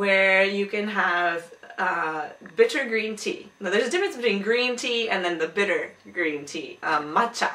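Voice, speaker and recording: Against noticeable background noise, a woman speaks at medium pitch and a moderate pace with ordinary pitch variation. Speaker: video blogger. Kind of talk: casual vlog talk. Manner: hesitant, many fillers.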